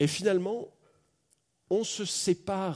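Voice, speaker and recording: This man has a dark, mellow tone. The recording is very clean, with a silent background. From France. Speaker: pastor. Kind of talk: sermon. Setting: church. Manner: animated.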